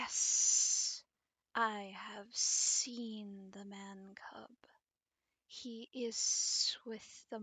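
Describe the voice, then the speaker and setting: A woman whispering in a put-on character voice at a very slow pace. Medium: read story.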